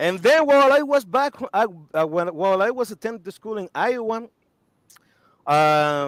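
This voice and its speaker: With a non-native accent, a man talks in an animated tone at a moderate pace, his high pitch swinging very widely between long, frequent pauses. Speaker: cigar company spokesperson. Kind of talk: interview, life story. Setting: live video stream.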